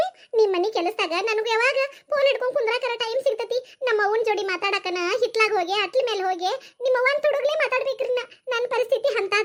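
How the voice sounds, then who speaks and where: A woman puts on a cartoonish character voice with a whiny tone and an extremely high pitch. She keeps ordinary pitch variation at a moderate pace. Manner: whiny, quick to argue.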